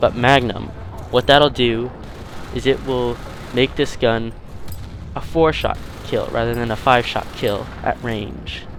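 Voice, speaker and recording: Noticeable background noise fills the background as a man talks at medium pitch with ordinary pitch variation. He goes at a fairly slow pace with long, frequent pauses. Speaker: video game YouTuber. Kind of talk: gameplay commentary review. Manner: stuttering.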